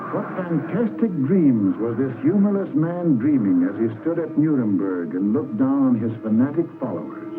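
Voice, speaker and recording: A man's fairly high voice with very wide pitch swings, at a moderate pace with hardly any pauses, music playing in the background. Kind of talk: wartime propaganda documentary narration.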